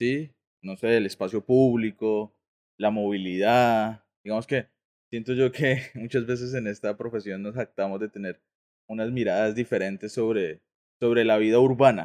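Here is a normal speaking voice at a fairly slow pace with fairly even intonation, with a dry, close sound, no echo, and a quiet background. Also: man, medium pitch for a man. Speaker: podcast co-host, architect. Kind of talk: casual chat.

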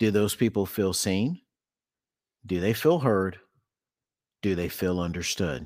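In a very clean recording with a silent background, a man with an American accent talks at a fairly slow pace with a very deep, low pitch, ordinary pitch variation and long, frequent pauses. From Texas. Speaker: educator, speaker and consultant. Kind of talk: interview conversation.

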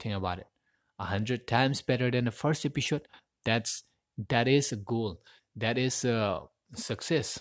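Long, frequent pauses break up a man's speech, which has ordinary pitch variation against a quiet background. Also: medium pitch for a man, moderate pace. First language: Manipuri. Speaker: podcaster and aspiring voiceover artist. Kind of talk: solo podcast monologue. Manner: halting, non-fluent with frequent self-corrections.

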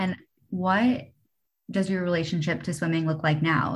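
Speaking at a moderate pace, a woman with a fairly low, somewhat breathy voice uses ordinary pitch variation. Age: 20s. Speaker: podcast host. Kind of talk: interview.

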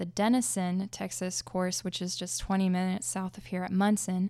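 In a very clean recording with a silent background, a woman with an unremarkable speaking voice talks at a moderate pace and medium pitch. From Oklahoma. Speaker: disc golfer. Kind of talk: casual interview. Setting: studio.

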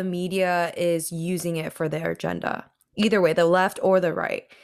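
A woman with an American accent, fairly low in pitch, speaking at a moderate pace in an unremarkable speaking voice. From Washington State. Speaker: podcast co-host. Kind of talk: casual discussion.

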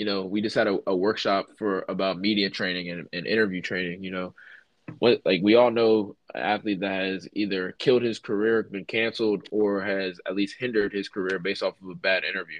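A man talks in an ordinary speaking voice with fairly low pitch. He keeps a fairly quick pace and fairly even intonation. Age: 20s. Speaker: college football player development coach, former player. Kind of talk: interview.

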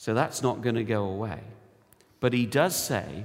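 A man talks with a British accent at a fairly slow pace. Room echo is audible. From United Kingdom. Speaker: church elder, lay preacher. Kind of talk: sermon.

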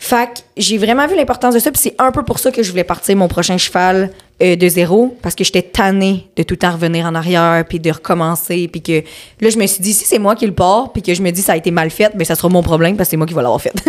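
A woman rattles along at a very fast pace with ordinary pitch variation. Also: medium pitch for a woman. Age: 20s. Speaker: barrel racer. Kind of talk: casual interview.

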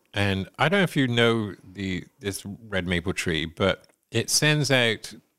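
With a West Country accent, a man speaks at a very slow pace in a fairly low pitch. His intonation is lively, and the recording is very clean with a silent background. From England. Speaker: podcast host. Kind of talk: casual chat.

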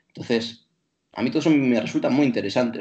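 Speaking at a very fast pace, a man with a dark, mellow tone keeps a medium pitch and ordinary pitch variation. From Bilbao, Basque Country, Spain. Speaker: traveller and teacher. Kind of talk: casual chat.

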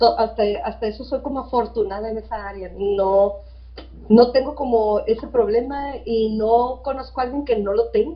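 The voice belongs to a woman talking at a moderate pace. Her volume rises and falls in big swings. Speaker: school principal. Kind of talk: interview.

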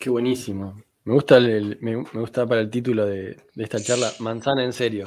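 A man speaks fairly quickly at a medium pitch, in a monotone with flat intonation. The recording is very clean, with a silent background. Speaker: podcast host. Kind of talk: casual interview. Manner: halting, many repetitions.

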